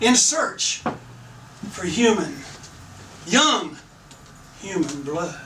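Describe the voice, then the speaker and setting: A man's high voice at a very slow pace, with very wide pitch swings, long and frequent pauses, noticeable background noise and audible room echo. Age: 60s. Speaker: storyteller at live event. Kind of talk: live storytelling.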